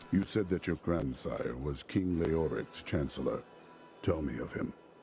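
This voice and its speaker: A man's put-on character voice, very deep and low in pitch, at a moderate pace amid clear background noise. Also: ordinary pitch variation. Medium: video game. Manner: blunt, terse.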